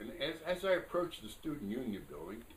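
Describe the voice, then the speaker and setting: Noticeable background noise sits behind this recording. A man with an American accent talks at a fairly quick pace. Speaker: Korean War veteran. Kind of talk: interview answer. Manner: hesitant, conversational.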